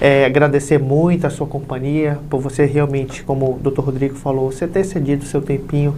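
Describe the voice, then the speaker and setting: The speech comes fairly quickly, with noticeable noise in the background. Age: 20s. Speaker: podcast host. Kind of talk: interview.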